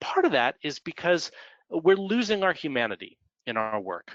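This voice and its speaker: An American-accented man with very wide pitch swings. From US Midwest, Milwaukee. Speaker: author and business educator. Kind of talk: webinar lecture. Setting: online webinar.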